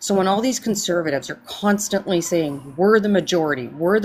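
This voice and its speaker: A woman speaks at a medium pitch in a normal speaking voice, her intonation lively. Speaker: stream panelist. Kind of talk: casual political discussion.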